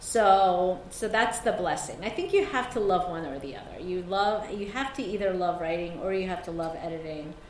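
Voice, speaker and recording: A woman's medium-pitched voice with ordinary pitch variation, big swings in loudness and hardly any pauses, amid audible room echo and noticeable background noise. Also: moderate pace. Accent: Mid-Atlantic American. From South Korea, moved to suburban Maryland at 11. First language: Korean. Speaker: novelist. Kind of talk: author talk with readings.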